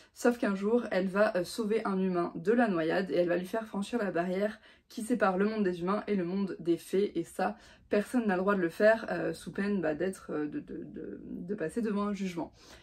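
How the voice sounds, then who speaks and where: Fairly quick speech from a woman at a medium pitch, with ordinary pitch variation and noticeable background noise. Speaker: book reviewer. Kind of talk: casual vlog book review. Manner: fast; hesitant, many fillers.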